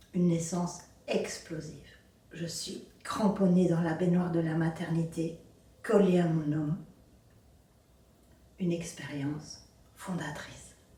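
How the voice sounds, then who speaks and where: In a room with audible echo, a woman with a fairly low pitch speaks very slowly in a monotone, flat intonation, with long, frequent pauses. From Belgium, Brussels area. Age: 60s. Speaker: abuse survivor sharing her story. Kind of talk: personal testimony.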